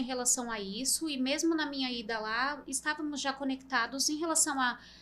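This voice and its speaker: A woman speaks in a high pitch with a bright, sharp tone. Her intonation is fairly even and her pace moderate. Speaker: CNC industry sales and training specialist. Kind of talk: podcast interview.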